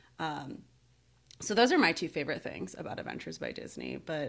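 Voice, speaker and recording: A woman's very deep, low voice with an American accent and vocal fry, at a moderate pace, in a very clean recording over a silent background. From Seattle area, US. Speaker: podcast host. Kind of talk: casual chat.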